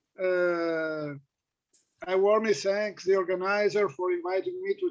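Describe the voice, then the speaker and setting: A man speaks with a non-native accent. His pace is fairly slow, and his pitch varies in an ordinary way. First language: Italian. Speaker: philologist and panel chair. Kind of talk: chairing an academic panel. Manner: hesitant, many fillers.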